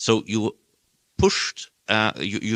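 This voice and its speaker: Bright, sharp tone from a man with fairly low pitch, dry and close with no echo, on a very clean recording with a silent background. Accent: German. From Germany. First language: German. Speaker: audience member asking a question. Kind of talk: panel Q&A question. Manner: halting.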